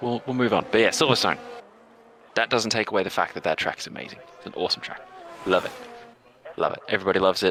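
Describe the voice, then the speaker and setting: With an Australian accent, the speaker races along at a very fast pace, broken by long, frequent pauses, with big swings in loudness over noticeable background noise. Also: man, medium pitch for a man, ordinary pitch variation. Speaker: esports league host and commentator. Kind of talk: live esports commentary chat. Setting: live stream. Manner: animated.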